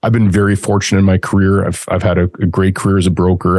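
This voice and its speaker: Over a quiet background, a man with a Canadian accent speaks in a flat monotone at a very deep, low pitch. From Canada. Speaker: industrial real estate broker and investor. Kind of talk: interview.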